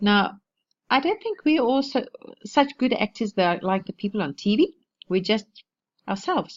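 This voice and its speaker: A woman with a South African accent talks at a fairly quick pace with lively intonation. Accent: Afrikaans South African English. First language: Afrikaans. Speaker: online marketing vlogger. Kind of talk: casual tutorial vlog. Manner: informal, with many restarts and fillers.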